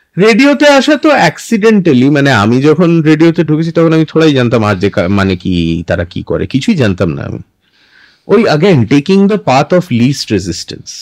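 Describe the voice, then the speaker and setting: This man speaks at a fairly high pitch with very wide pitch swings. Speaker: voiceover artist and former radio jockey. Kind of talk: interview answer.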